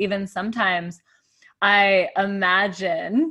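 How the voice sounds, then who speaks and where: Speaking with an American accent, a woman uses a bright, sharp tone at medium pitch with ordinary pitch variation. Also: quiet background. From Arizona, US (Tucson). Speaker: fitness, breath and meditation coach. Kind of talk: casual chat. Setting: studio.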